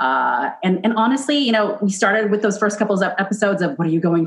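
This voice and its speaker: A woman at medium pitch speaks very fast with hardly any pauses and very even loudness. Her tone is animated and her intonation lively. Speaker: chef and podcast host. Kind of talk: casual chat.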